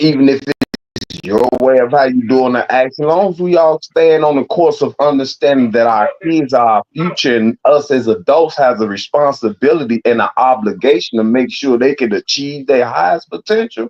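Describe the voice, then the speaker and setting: A man with a fairly high voice speaks at a moderate pace in an animated tone, with lively intonation and hardly any pauses. His loudness stays very even, and the sound is dry and close with no echo. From Chicago. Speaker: podcast host. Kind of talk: casual chat.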